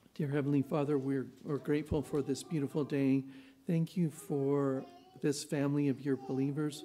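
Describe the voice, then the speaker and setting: Music plays in the background as a man speaks in a monotone, flat intonation at a fairly high pitch. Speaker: announcements leader. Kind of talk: announcements. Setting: church. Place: church. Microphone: podium.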